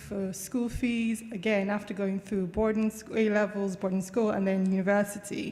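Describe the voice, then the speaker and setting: Moderately paced speech from a woman with an American accent. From Nigeria, Lagos. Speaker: university lecturer and researcher. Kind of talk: conference talk.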